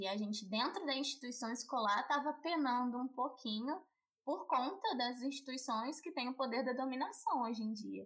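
Her pitch is high as this woman talks at a moderate pace with ordinary pitch variation. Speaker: podcast host. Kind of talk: casual interview.

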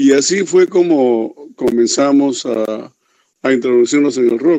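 A man with a dark, mellow tone speaks fairly slowly at a medium pitch, his intonation fairly even. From Peru. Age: 70s. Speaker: veteran rock bassist. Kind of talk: interview. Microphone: connection dropped.

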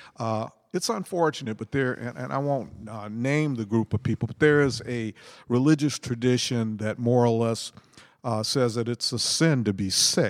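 A man speaks in a plain, everyday voice at a medium pitch. His pitch variation is ordinary and his pace moderate. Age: 60s. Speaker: co-host. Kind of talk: casual religious discussion.

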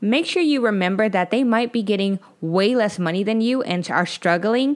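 A woman with an American accent, medium in pitch, at a moderate pace. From United States. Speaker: podcast host, former teacher in Korea. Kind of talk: casual solo podcast monologue. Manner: animated.

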